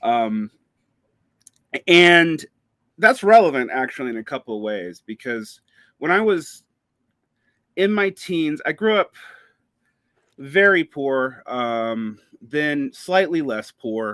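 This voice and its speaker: Speaking at a fairly slow pace with an American accent, a man with a fairly high pitch and a bright, sharp tone makes very wide pitch swings and long, frequent pauses, heard in a dry, close sound with no echo. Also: very clean recording, silent background. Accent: Southern US, comes back while talking. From US South, Macon, Georgia. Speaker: podcaster and writer. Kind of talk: interview conversation.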